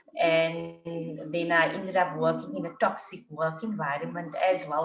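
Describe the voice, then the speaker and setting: Echo from the room can be heard. There is also a noticeable amount of background noise. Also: woman. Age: 40s. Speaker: IT worker turning life coach. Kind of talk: casual chat.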